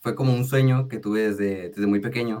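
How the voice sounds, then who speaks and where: A man talks in an unremarkable speaking voice. His pitch is fairly low and his intonation fairly even. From Mexico, Tijuana, Baja California. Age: young. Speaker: singer-songwriter and music producer. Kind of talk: radio interview.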